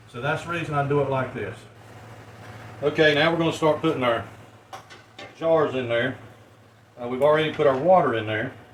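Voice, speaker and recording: A man at a fairly quick pace, with long, frequent pauses, audible room echo and noticeable background noise. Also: fairly high pitch for a man, ordinary pitch variation. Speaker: home canning video maker. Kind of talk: tutorial. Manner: mumbling; casual, folksy.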